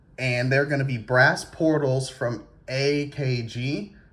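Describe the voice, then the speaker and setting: The speaker is a man with a medium pitch. Some breathiness comes through in his voice. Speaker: RC car hobbyist YouTuber. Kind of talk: casual tutorial. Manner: stammering repeats.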